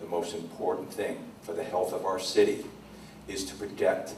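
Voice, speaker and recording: Through audible room echo and noticeable background noise, a man speaks at a moderate pace. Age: 60s. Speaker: city council candidate. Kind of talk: candidate forum answer.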